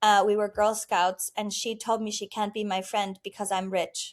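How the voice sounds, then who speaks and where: A woman's medium-pitched voice with monotone, flat intonation at a moderate pace, on a very clean recording with a silent background. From Germany. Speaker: entrepreneur and wealth coach. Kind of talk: podcast interview.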